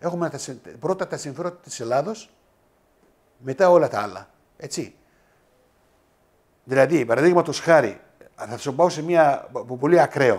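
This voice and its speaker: A man's fairly high voice, fairly slow and lively, with long, frequent pauses and big swings in loudness. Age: 60s. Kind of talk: interview. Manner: halting.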